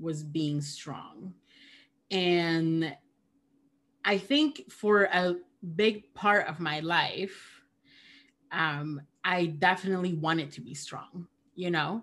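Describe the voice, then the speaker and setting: On a very clean recording with a silent background, a woman with a Spanish accent speaks very slowly at a fairly low pitch, with ordinary pitch variation and long, frequent pauses. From Peru. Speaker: theologian and podcaster. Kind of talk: casual conversation.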